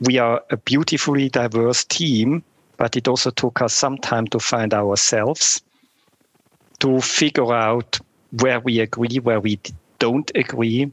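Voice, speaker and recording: This man has an ordinary speaking voice at a medium pitch, with fairly even intonation and very even loudness. He talks at a fairly slow pace, and the sound is dry and close with no echo. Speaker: startup business lead. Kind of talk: interview. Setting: remote call.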